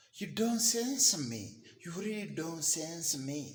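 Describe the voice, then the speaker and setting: Audible room echo surrounds a man speaking with a Kenyan accent. His intonation is lively. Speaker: vlogger. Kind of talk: rant. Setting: live video. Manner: halting, repetitive.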